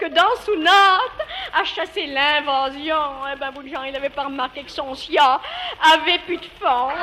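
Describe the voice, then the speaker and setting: Noticeable background noise surrounds a woman speaking very slowly in a raised, projected voice, her high pitch showing ordinary variation and her loudness swinging a lot. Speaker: dialect storyteller. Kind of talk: humorous dialect monologue.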